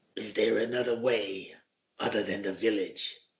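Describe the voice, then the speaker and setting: A man puts on a raspy character voice. His pitch is medium and his pace moderate. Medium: actual play. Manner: measured, low.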